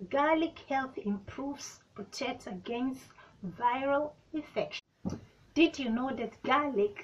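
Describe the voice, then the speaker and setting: This woman has a high-pitched voice with ordinary pitch variation. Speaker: beauty vlogger. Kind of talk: casual vlog chat. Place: home room. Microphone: phone near.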